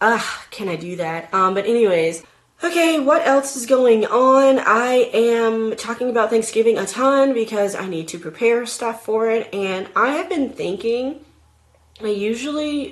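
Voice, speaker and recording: Against noticeable background noise, a woman speaks at a fairly slow pace in a fairly high pitch with lively intonation. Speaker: vlogger. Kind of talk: casual chat. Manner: animated.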